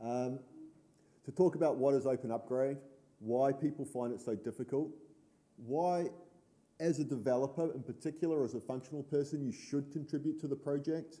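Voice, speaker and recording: A man with a New Zealand accent, a fairly high pitch and a dark, mellow tone, at a moderate pace with fairly even intonation and long, frequent pauses. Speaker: conference speaker, board vice president of open source association. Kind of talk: conference talk.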